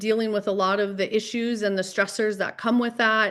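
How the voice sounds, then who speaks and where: Delivered in a monotone, flat intonation, the North Dakota accent comes through in a very clean recording with a silent background. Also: woman. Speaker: mental health professional. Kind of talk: podcast interview.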